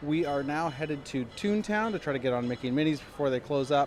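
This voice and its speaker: This man's voice is fairly high-pitched, and noticeable background noise can be heard with it. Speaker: podcast host. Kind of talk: casual chat. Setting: in a car; theme park, portable recorder. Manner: soft-spoken. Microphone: portable audio recorder, poor audio.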